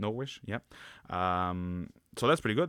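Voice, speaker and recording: The recording is very clean, with a silent background. Pitch variation is ordinary. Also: man. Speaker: history book reviewer. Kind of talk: book review talk to camera. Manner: casual, hesitant with fillers.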